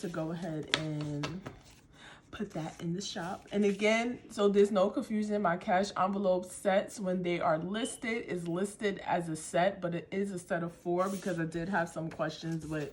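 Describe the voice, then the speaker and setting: This woman has a medium pitch and a somewhat breathy voice. She talks at a moderate pace with fairly even intonation. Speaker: small business owner presenting products. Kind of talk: product showcase vlog. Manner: casual, filler-heavy.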